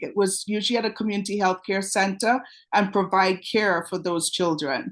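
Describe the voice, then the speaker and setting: Against a quiet background, a woman with a Trinidadian accent speaks with ordinary pitch variation. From Trinidad and Tobago. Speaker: pediatric dentist. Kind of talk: webinar presentation. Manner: energetic.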